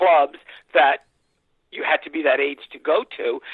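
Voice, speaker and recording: A man with a New York accent. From New York City. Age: 60s. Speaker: music industry executive. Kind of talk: interview.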